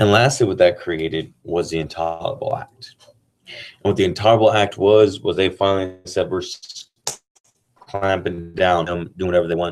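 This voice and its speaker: Here a man speaks with very deep, low pitch. His pace is moderate and his intonation fairly even. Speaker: teacher. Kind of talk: casual chat; lecture. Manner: monotone.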